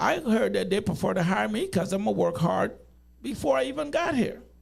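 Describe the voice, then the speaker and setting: The room echo is audible. A man speaks at a moderate pace. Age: 60s. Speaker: interview guest. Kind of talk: casual interview chat.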